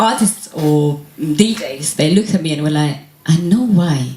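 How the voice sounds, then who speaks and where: Noticeable background noise is present. Over it, a woman speaks at a fairly slow pace. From Italy. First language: Italian. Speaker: singer. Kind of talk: interview.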